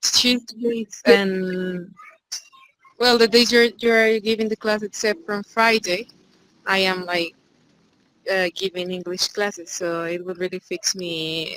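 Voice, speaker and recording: With long, frequent pauses, a woman talks very slowly at a medium pitch with fairly even intonation, in a dry, close sound with no echo. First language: Spanish. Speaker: student, English teacher. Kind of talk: casual chat.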